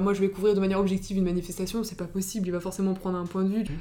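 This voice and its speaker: Over noticeable background noise, a woman speaks very fast at medium pitch in a monotone, flat intonation. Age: young. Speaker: podcast host. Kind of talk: scripted narration; interview.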